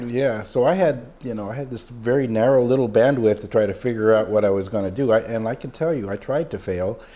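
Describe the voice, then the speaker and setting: Racing along at a very fast pace with hardly any pauses, a man speaks in a medium-pitched, dark, mellow voice with ordinary pitch variation. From Mexico. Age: 60s. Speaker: emergency room doctor. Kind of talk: interview. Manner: halting, many fillers.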